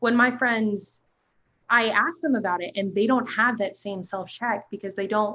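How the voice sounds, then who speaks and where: Loud and bright with a sharp tone, a woman speaks at a fairly high pitch with ordinary pitch variation. The background is quiet. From New Jersey. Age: young. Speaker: youth advocate. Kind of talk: panel discussion. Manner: animated.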